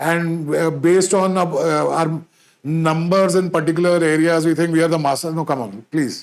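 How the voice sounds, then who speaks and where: This man speaks with a Punjabi accent at a high pitch. His pace is moderate and his intonation fairly even. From India, Punjabi background. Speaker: podcast host. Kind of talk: solo podcast monologue. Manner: halting, many fillers and restarts.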